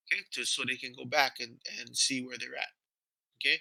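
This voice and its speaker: The man speaks at a moderate pace. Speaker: trading teacher. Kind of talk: live trading tutorial.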